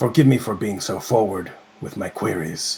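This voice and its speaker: Using a put-on character voice, a man talks at a fairly low pitch with ordinary pitch variation. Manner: formal, polite.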